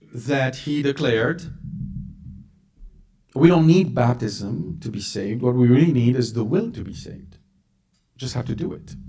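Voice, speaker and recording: Pausing long and often, a man with a medium-pitched, dark, mellow, somewhat breathy voice speaks at a moderate pace with lively intonation and big swings in loudness. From Lebanon. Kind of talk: religious lecture to live audience. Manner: blunt, direct.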